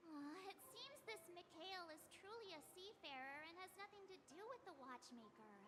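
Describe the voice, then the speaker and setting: A put-on character voice at an extremely high pitch rings out over loud background noise. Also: moderate pace. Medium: video game. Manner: lively, inquisitive.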